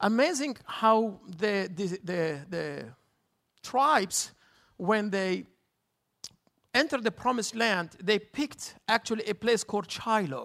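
A man with a high, bright, sharp voice and lively intonation speaks at a fairly slow pace. Long, frequent pauses break up his speech on a very clean recording with a silent background. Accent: Arabic. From Jerusalem. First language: Arabic. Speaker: tour guide. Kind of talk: guest sermon.

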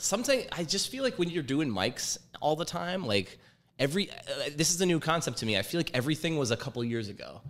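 Speaking at a very fast pace, a man with a fairly high pitch shows vocal fry and very wide pitch swings. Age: 30s. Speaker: stand-up comedian. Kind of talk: casual chat.

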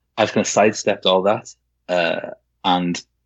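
This man has a fairly low-pitched voice. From Wales. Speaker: novelist. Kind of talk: casual roundtable chat. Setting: Skype call from home.

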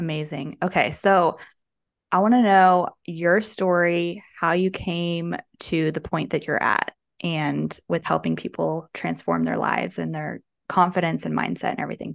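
Her delivery is fairly slow. The woman is heard against a quiet background. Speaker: podcast host and breakup coach. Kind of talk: casual interview chat.

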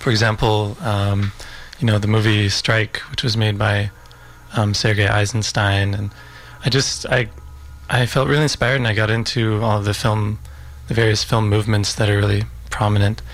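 A man's fairly low voice at a moderate pace, long and frequent pauses, very even loudness and fairly even intonation, with music in the background. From Utah, US. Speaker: filmmaker. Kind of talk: radio interview. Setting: radio studio. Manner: reflective, hesitant with fillers.

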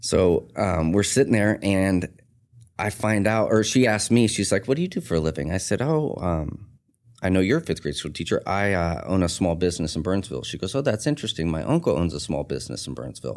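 On a very clean recording with a silent background, a man with a very deep, low pitch and vocal fry speaks at a fairly quick pace with very wide pitch swings. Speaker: tattoo artist and shop owner. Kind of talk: casual interview chat, life story. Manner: rough, casual language.

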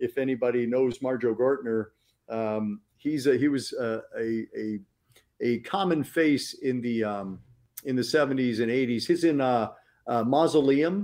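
A man talks fairly slowly in an ordinary speaking voice, medium in pitch with ordinary variation, against a quiet background. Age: 50s. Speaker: horror film critic and author. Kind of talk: casual chat. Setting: live stream.

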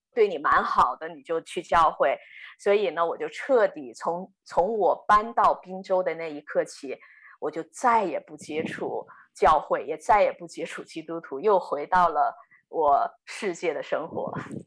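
Music plays in the background as a woman speaks at a fairly slow pace. Her loudness swings widely. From Inner Mongolia, China. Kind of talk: testimony. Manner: hesitant, many filler sounds.

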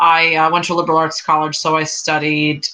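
Through noticeable background noise, a woman with an American accent speaks at a moderate pace in a very deep, low pitch. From New York. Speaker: artist and educator. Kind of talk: casual chat.

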